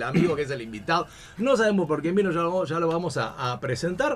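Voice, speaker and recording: With noticeable background noise, a man in a Rioplatense accent speaks very fast at a high pitch with lively intonation. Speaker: radio host. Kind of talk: casual chat. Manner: animated.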